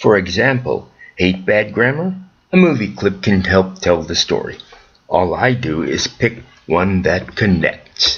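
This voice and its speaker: A man speaks with an American accent at a fairly slow pace. His voice is somewhat breathy. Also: fairly low pitch for a man, ordinary pitch variation. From US Midwest, Chicago area. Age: 70s. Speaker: storyteller. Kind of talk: scripted narration.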